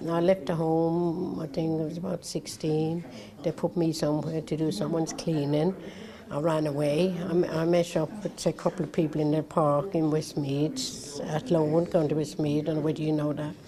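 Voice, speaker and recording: In an Irish accent, a woman speaks with a very deep, low pitch and ordinary pitch variation. Her pace is moderate, and there is noticeable background noise. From Ireland. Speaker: care-home survivor. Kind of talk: TV interview testimony.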